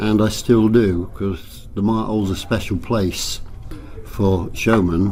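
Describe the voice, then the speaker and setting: Over noticeable background noise and audible room echo, a man speaks in a fairly low voice with fairly even intonation. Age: 80s+. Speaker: travelling showman. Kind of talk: interview. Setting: at a fairground.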